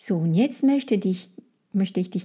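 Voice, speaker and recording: A woman's somewhat breathy, dark, mellow voice at a medium pitch, on a very clean recording with a silent background. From France. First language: French (speaking German). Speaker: French language trainer, podcast host. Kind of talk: guided fantasy journey; educational monologue podcast. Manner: halting with fillers.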